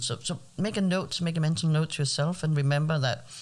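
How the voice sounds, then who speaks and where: The speaker has a Danish accent and keeps a fairly quick pace. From Denmark. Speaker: translator and interpreter. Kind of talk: interview.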